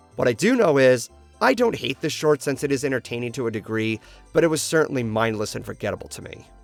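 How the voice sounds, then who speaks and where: The speech moves at a very fast pace with ordinary pitch variation. Music plays in the background. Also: man. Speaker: video reviewer. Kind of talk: review commentary.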